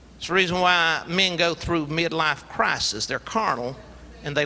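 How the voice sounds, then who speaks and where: In a South Carolina accent, a man with a high, bright, sharp voice speaks at a fairly slow pace with ordinary pitch variation. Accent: Southern US (South Carolina). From US South, rural South Carolina. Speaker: preacher. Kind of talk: sermon. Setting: church.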